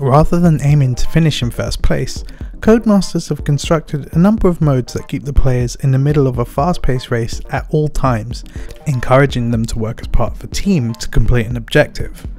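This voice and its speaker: Quietly, a man talks at a fairly quick pace with lively intonation over music in the background. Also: fairly high pitch for a man. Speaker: game reviewer. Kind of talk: video game review narration.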